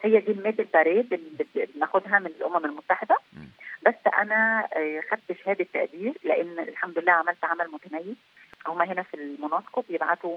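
A woman with an Egyptian accent speaks at a medium pitch and a moderate pace, showing ordinary pitch variation and big swings in loudness. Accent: Egyptian Arabic with frequent English words. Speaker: peacekeeping military officer. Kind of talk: interview.

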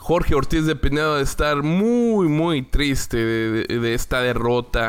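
Fairly high-pitched male voice, lively intonation, fairly slow pace. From Mexico, Torreón, Coahuila. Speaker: football podcaster. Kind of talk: casual monologue. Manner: halting, with repetitions.

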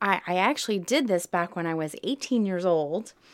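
With a Southern US accent, a woman speaks in a fairly low pitch with ordinary pitch variation, in a very clean recording with a silent background. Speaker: guest. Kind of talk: casual chat. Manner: laughs often, chatty.

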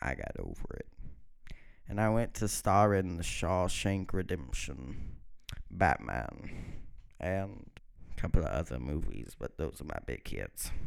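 With a very deep, low pitch, vocal fry and very wide pitch swings, a man talks at a fairly slow pace broken by long, frequent pauses. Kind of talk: comedic impression of a celebrity, mock-solemn storytelling narration; casual comedy show hosting with improvised bits.

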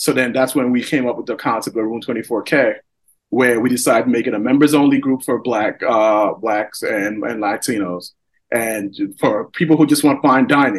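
Speaking with an American accent in a normal speaking voice, a man talks at a moderate pace with ordinary pitch variation. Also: medium pitch for a man. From New York, Long Island (Elmont). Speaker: entrepreneur. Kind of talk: casual chat.

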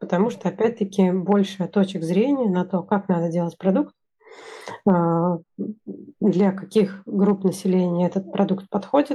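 A woman speaks very slowly in a somewhat breathy voice. Her tone is dark and mellow, with ordinary pitch variation. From Russia. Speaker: engineering manager. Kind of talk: casual interview.

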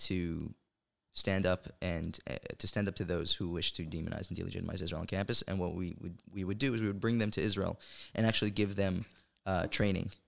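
Fairly quick and fairly even in intonation, a man's very deep, low voice comes through on a very clean recording with a silent background. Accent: New York. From New York (Brooklyn, then Monsey). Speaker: pro-Israel campus activist. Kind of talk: casual interview. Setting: studio, sitting across the table.

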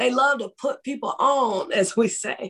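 Speaking at a fairly slow pace in a Southern US accent, a woman with a high voice uses ordinary pitch variation. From West Tennessee (Jackson). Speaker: author and ministry founder. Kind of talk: interview.

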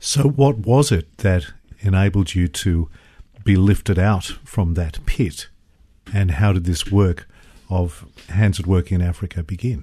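A man's very deep, low, somewhat breathy voice with an Australian accent, at a fairly slow pace. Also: ordinary pitch variation, quiet background. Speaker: radio host. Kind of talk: radio interview. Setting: studio.

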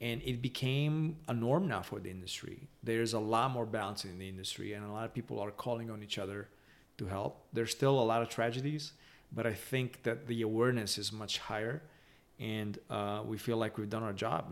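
A man with a Romanian accent speaks at a fairly quick pace. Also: medium pitch for a man, ordinary pitch variation. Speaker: spirits company founder and CEO. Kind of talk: interview. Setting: home bar.

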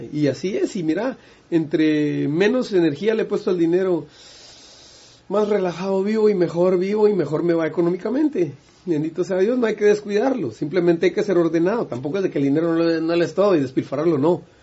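Talking at a fairly quick pace, a man uses a high pitch and ordinary pitch variation. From Guatemala. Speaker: musician. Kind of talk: casual interview chat.

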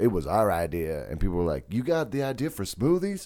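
This man's voice has a dark, mellow tone. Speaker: podcast co-host. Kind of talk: casual chat.

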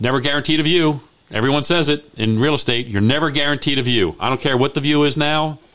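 Over noticeable background noise, a man with an American accent talks at a very fast pace and a fairly high pitch. His loudness stays very even and his intonation fairly even. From Maryland, Baltimore. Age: 60s. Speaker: real estate agent and radio host. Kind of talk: radio talk show.

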